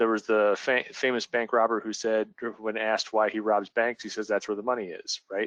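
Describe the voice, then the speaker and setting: With a quiet background, a man talks at a fairly low pitch in a monotone, flat intonation. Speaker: team leader presenting a webinar. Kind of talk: webinar presentation. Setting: online webinar. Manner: fast.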